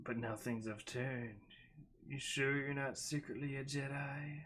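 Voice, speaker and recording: A man puts on a character voice, talking at a medium pitch and an even, moderate speed. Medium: read story. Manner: purring, flirtatious.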